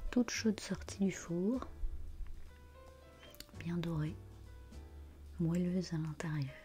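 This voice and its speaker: Over music in the background, a soft-spoken woman talks at a very slow pace. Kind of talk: ASMR vlog, soft-spoken cooking demonstration to camera.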